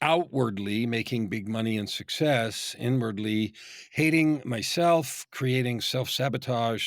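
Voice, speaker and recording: The recording is very clean, with a silent background. A man speaks in a normal speaking voice, at medium pitch and a moderate pace. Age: 60s. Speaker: business coach. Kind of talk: podcast interview.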